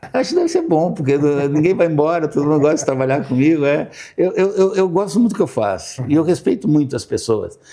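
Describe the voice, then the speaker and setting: A man talks at a very fast pace with hardly any pauses, his pitch fairly high for a man. Noticeable background noise sits behind him. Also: lively intonation. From Brazil, interior of Paraná. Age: 60s. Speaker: architect. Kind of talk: interview conversation. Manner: halting, many repetitions.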